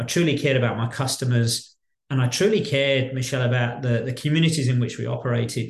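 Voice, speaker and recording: Delivered at a very fast pace, the speech is somewhat breathy with fairly even intonation. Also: man, medium pitch for a man. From Birmingham, West Midlands, England. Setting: video call from Australia.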